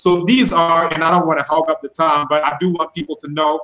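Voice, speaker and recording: A man in an American accent, fairly high in pitch, fairly even in intonation, and very fast. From United States. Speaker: linguist; guest. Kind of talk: live-streamed panel discussion. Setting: video call. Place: home room. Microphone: webcam.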